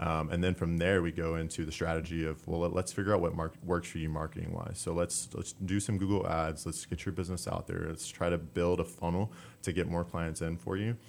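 With hardly any pauses, a man with an American accent talks at a fairly quick pace and a very deep, low pitch, keeping his intonation fairly even. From Southeast Texas (Splendora). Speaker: digital marketing specialist. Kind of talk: radio interview. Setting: radio studio. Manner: hesitant, many fillers.

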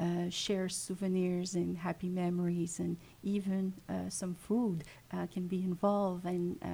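Slightly breathy and dark, mellow in tone, a woman with a Quebec accent speaks fairly slowly at a medium pitch with fairly even intonation. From Quebec, Montreal. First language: French. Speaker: funeral home family services manager. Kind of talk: radio interview. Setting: radio studio.

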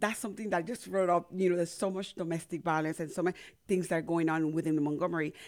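Talking at a very fast pace, a woman with a Spanish accent keeps a fairly low pitch and fairly even intonation. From Panama. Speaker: community radio host and organization founder. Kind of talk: casual radio interview. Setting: radio studio.

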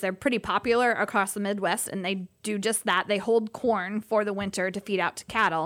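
With an American accent and an ordinary speaking voice, a woman speaks fairly quickly at a medium pitch. Her intonation is fairly even, and the recording is very clean with a silent background. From Indiana. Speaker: animal rescue worker and farmer. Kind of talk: casual interview.

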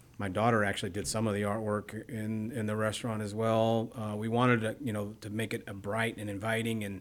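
A man talks in a fairly low voice at a fairly quick pace. His intonation stays monotone and flat. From Texas (Bryan), moved from Midwest at seven. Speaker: restaurant owner. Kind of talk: casual chat. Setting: studio.

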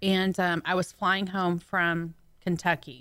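Her tone is bright and sharp, and this woman's pitch sits fairly low. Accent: Southern US. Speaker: radio co-host. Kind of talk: casual chat. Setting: radio studio.

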